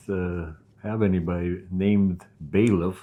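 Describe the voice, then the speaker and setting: A man speaks with a very deep, low pitch and a dark, mellow tone. His intonation is monotone and flat against a quiet background. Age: 70s. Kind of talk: testimony interview. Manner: halting, many fillers.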